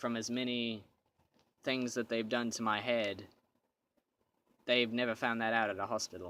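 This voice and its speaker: A man's bright, sharp tone with monotone, flat intonation at a moderate pace, broken by long, frequent pauses. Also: medium pitch for a man. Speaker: vlogger. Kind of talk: casual monologue. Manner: halting, stutters at times.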